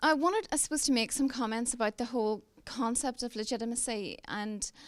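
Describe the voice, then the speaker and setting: Talking at a fairly quick pace, a woman with a Northern Irish accent has a high pitch and ordinary pitch variation. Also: very clean recording, silent background. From Northern Ireland. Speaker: police representative. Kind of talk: panel discussion.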